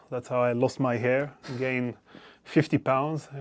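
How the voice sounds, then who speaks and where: With an Israeli accent, a man speaks at a medium pitch in a monotone, flat intonation. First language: Hebrew. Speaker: venture capital investor. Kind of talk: interview. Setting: recording studio.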